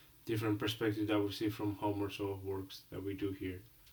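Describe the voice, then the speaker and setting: A man's somewhat breathy, fairly low voice in a Colombian accent, at a moderate pace with monotone, flat intonation. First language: Spanish. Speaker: international student. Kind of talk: role-play counseling session. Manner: halting.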